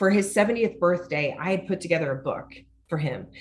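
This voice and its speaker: A woman speaks with an American accent and a fairly low pitch. Her intonation is lively. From US Midwest, rural northwest Missouri. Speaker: author and business owner. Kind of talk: interview, personal testimony. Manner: halting, with self-corrections.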